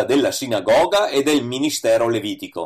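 A man speaking at a moderate pace. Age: 60s. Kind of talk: scripted reading of a religious essay.

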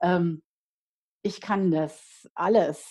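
A dark, mellow tone with ordinary pitch variation comes across against a quiet background. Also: woman. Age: 50s. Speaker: life coach and author. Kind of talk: interview. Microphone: unstable internet connection.

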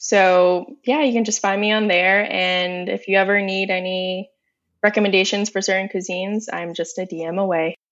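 A woman with an American accent and an ordinary speaking voice, medium in pitch, fairly even in intonation, at a moderate pace. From Northern Virginia, US. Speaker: food influencer. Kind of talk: casual interview. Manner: giggly.

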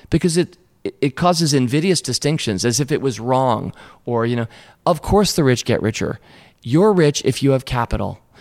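A man with a Mid-Atlantic US accent, energetic in tone at a fairly quick pace, dry and close with no echo. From Washington, D.C. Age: 50s. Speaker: investor and company co-founder. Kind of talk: interview conversation.

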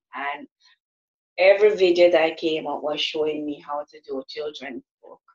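A woman speaks with a Jamaican accent and ordinary pitch variation. The sound is dry and close, with no echo. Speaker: author and motivational speaker. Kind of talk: interview.

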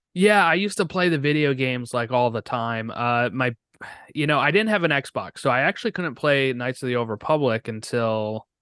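A man speaks at a fairly quick pace in a bright, sharp tone with ordinary pitch variation. The sound is dry and close with no echo, over a quiet background. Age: 30s. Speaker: podcaster. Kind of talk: casual chat.

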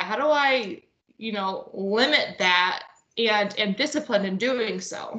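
A woman speaks with a Midwestern US accent. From northwest Ohio. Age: 20s. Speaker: nurse. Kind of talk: casual chat.

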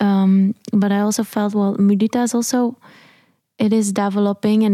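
A woman with a Dutch accent, dark and mellow in tone, at a moderate pace, with very even loudness, monotone, flat intonation, and a dry, close sound with no echo. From southern Netherlands. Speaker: jazz vocalist. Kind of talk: interview. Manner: halting.

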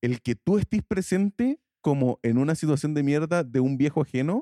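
Heard in a very clean recording with a silent background, a man's dark, mellow voice carries lively intonation. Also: dry, close sound with no echo. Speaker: podcast co-host. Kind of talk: casual chat.

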